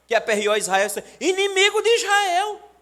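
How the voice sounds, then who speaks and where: With a Paraíba accent, a man speaks at a fairly slow pace in an animated tone with very wide pitch swings. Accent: northeastern Brazilian (Paraíba). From Brazil, Paraíba (Pombal, Sertão). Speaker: pastor. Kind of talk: sermon.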